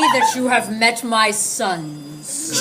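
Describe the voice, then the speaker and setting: Loud background noise sits behind a put-on character voice pitched fairly high. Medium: audio drama.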